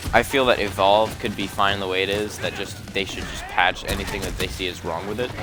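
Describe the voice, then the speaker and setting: With music in the background and audible room echo, a man talks fairly quickly with hardly any pauses, using a fairly low pitch and fairly even intonation. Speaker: gaming commentator. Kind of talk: casual commentary monologue. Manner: halting, with filler words.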